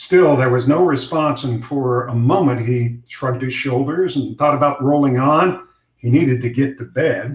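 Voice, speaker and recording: Somewhat breathy, a man talks in a fairly high pitch at a moderate pace. His intonation stays fairly even, with hardly any pauses. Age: 60s. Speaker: retired news anchor and fiction author. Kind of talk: reading aloud; casual chat.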